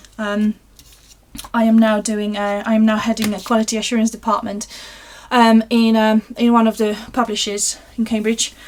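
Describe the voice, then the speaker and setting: A woman's monotone, flat delivery in a Polish accent. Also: fairly high pitch for a woman, moderate pace. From Poland. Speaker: craft livestream host. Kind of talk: live craft tutorial and viewer chat. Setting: live stream. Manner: hesitant, many fillers.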